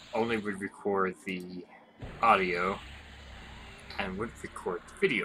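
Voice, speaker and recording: Noticeable background noise surrounds a man who mumbles at a fairly low pitch and a fairly slow pace. His intonation is monotone and flat, broken by long, frequent pauses. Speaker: gaming YouTuber. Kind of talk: gameplay commentary. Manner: mumbling. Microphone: webcam microphone, picks up poorly.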